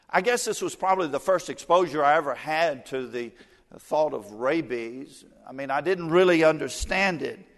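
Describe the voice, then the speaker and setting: At a moderate pace, a man with a Southern US accent talks in a fairly high pitch with lively intonation. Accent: US South. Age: 60s. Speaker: evangelist. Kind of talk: sermon.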